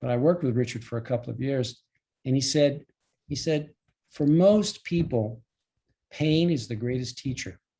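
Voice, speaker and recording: A somewhat breathy voice with a dark, mellow tone and long, frequent pauses. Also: man, medium pitch for a man, ordinary pitch variation, moderate pace. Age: 70s. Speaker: life and relationship coach. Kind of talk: online presentation to a group. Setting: call. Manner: hesitant, with repetitions and fillers.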